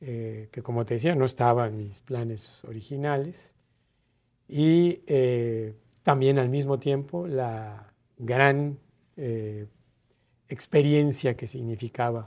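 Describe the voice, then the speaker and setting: A man at medium pitch and a very slow pace, with long, frequent pauses, on a very clean recording with a silent background. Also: ordinary pitch variation. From Mérida, Yucatán, Mexico. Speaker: ambassador, diplomat. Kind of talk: interview answer. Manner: hesitant, reflective.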